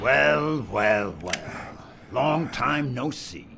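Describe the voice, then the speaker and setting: A man's put-on character voice, medium in pitch with very wide pitch swings, over clear background noise. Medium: video game.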